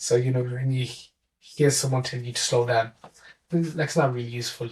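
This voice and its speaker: Somewhat breathy, a man talks at a fairly quick pace and a medium pitch. His intonation stays fairly even. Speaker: mathematics teacher. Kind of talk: interview answer.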